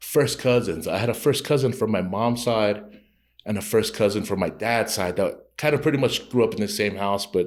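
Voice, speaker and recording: On a very clean recording with a silent background, a man speaks with a Tongan accent. His medium pitch shows ordinary variation at a fairly quick pace. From Utah, Rose Park, Salt Lake City. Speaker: comedian. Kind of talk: casual interview chat. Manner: casual, halting with repetitions.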